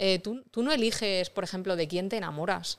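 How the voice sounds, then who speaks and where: A woman's ordinary speaking voice at medium pitch, fairly quick, with ordinary pitch variation, in a very clean recording with a silent background. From Vega Baja del Segura, Alicante, Spain (Rojales). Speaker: illustrator and paranormal investigator. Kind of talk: casual interview.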